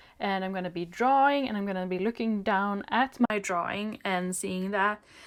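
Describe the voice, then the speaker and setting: A woman with a Swedish accent talks at a moderate pace with ordinary pitch variation. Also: medium pitch for a woman. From Sweden. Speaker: video creator, drawing tutorials. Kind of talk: product review.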